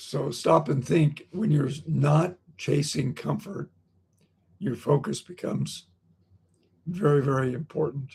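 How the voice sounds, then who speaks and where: A man speaks at a very slow pace with long, frequent pauses. His fairly high pitch has vocal fry and ordinary pitch variation. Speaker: motivational speaker. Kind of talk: motivational talk. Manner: repetitive, halting in places.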